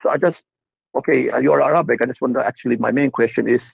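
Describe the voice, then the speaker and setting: A man speaks at a very fast pace, the sound dry and close with no echo. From Turkey. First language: Turkish. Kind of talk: call-in conversation. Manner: halting.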